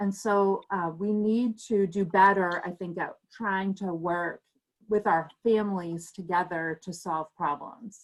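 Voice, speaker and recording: Fairly even intonation from a woman at medium pitch and a very slow pace, on a very clean recording with a silent background. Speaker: parent advocate presenter. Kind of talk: presentation.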